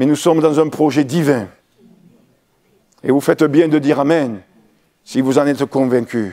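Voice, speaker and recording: This man's dark, mellow voice sits at a fairly high pitch with ordinary pitch variation. His loudness stays very even, broken by long, frequent pauses. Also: moderate pace. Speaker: pastor. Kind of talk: sermon.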